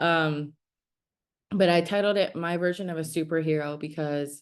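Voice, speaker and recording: A woman with a Spanish accent speaks at a moderate pace in a very deep, low pitch over a quiet background. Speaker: startup founder. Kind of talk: presentation. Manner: animated storytelling.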